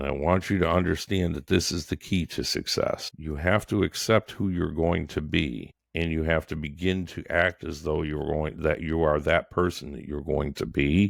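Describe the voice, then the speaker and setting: A man talks at a moderate pace in a very deep, low pitch with vocal fry. He hardly pauses, and the recording is very clean with a silent background. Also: ordinary pitch variation. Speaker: podcast host, entrepreneur. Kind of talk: solo podcast monologue. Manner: halting.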